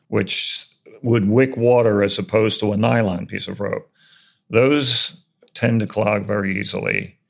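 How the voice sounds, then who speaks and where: This man has an ordinary speaking voice, fairly low in pitch, with fairly even intonation at a fairly slow pace. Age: 60s. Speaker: retired mason and contractor. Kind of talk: interview about building construction.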